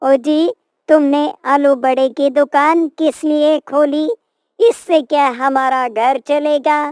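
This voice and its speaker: In a cartoonish character voice, a woman talks at a high pitch and a very slow pace. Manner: sharp, dismissive.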